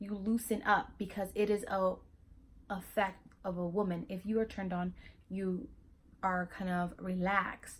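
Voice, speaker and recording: At a moderate pace, this somewhat breathy voice keeps a fairly even intonation. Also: woman. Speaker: YouTuber. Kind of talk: casual vlog talk. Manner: halting, with fillers and restarts.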